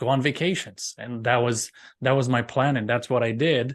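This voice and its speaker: A Romanian accent against a quiet background. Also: man. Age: 40s. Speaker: professional speaker. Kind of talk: interview podcast.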